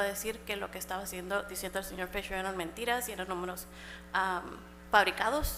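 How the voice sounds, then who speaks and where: A woman's voice over noticeable background noise. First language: Spanish. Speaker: public commenter at city council meeting. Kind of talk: public comment. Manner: code-switching Spanish and English.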